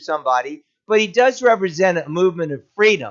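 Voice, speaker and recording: The tone is animated, with ordinary pitch variation. Delivery moves at a fairly quick pace. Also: man. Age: 60s. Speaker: political commentary show host. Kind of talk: political commentary monologue. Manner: animated, sarcastic.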